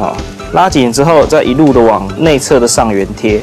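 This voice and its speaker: Over clear background music, a man speaks at a moderate pace. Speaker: guest. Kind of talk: tutorial demonstration. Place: studio. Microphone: lapel.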